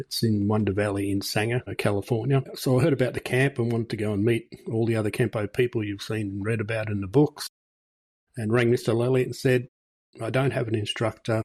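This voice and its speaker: A man with an Australian accent speaks at a fairly quick pace and medium pitch, somewhat breathy, with fairly even intonation in a dry, close sound with no echo. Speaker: martial arts instructor and podcast host. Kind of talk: interview conversation.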